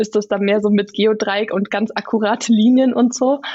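We hear a woman's voice. It sits fairly high in pitch. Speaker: visual facilitator / illustrator. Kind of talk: podcast interview. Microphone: good sound quality.

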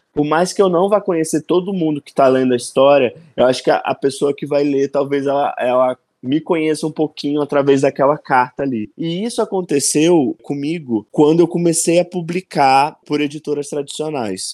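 A man talks in an ordinary speaking voice, fairly high in pitch with ordinary pitch variation, at a moderate pace with hardly any pauses. The recording is very clean, with a silent background and a dry, close sound with no echo. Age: 20s. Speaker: author. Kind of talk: casual interview.

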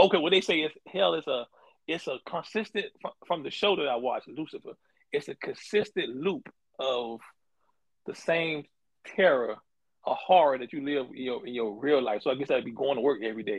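Lively in intonation, a man with a fairly high pitch talks at a fairly quick pace but leaves long, frequent pauses. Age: 40s. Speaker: podcast co-host. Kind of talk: casual chat.

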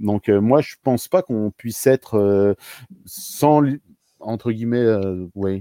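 With a dark, mellow tone and medium pitch, a man speaks very slowly with long, frequent pauses and ordinary pitch variation, on a very clean recording with a silent background and a dry, close sound with no echo. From eastern France (Montbéliard), later Réunion. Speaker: community worker and organizational coach. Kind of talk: casual interview conversation.

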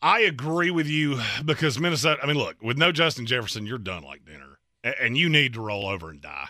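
At a very fast pace, a man speaks at a fairly high pitch with a bright, sharp tone and vocal fry. His pitch swings very widely and his loudness shifts a lot, on a very clean recording with a silent background. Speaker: sports radio co-host. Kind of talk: casual sports talk; reading betting picks. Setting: radio studio.

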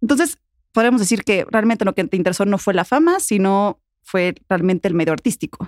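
In an ordinary speaking voice, a woman talks at medium pitch and a fairly quick pace, with lively intonation and very even loudness. The sound is dry and close, with no echo. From Puebla, Mexico. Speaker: podcast host. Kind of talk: casual interview.

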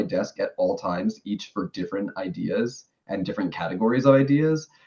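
He speaks with a New York accent. His pace is moderate and his pitch varies normally. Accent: New York American. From New York City. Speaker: streamer. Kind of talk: casual interview.

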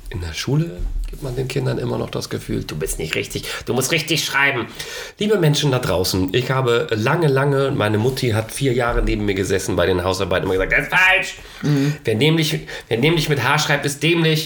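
A man's medium-pitched voice at a fairly quick pace, with very wide pitch swings, audible room echo and noticeable background noise. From East Frisia, northern Germany. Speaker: actor and author. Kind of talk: casual chat. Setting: producer's home.

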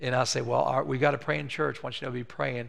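Amid audible room echo, a man with vocal fry talks at a fairly quick pace and medium pitch. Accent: American. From West Virginia. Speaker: pastor. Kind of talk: sermon; role-play demonstration. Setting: church.

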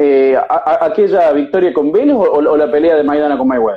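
A man's plain, everyday voice, fairly high in pitch, with lively intonation and a fairly quick pace. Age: young. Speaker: boxing journalist. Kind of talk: interview.

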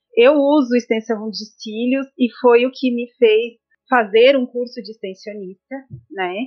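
A woman's high-pitched voice at a fairly slow pace, with fairly even intonation and big swings in loudness. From Santa Catarina highlands, Brazil. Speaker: mother and aesthetics student. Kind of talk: casual interview.

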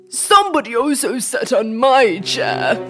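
A put-on character voice, high in pitch and fairly slow, over clear music in the background. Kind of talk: bedtime story character acting. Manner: gentle, complaining.

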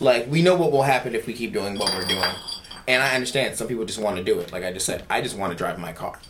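Over noticeable background noise and audible room echo, a man talks at a very fast pace with a medium pitch, lively intonation and an animated tone. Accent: American. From Philadelphia. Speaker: podcast co-host. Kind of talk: casual chat.

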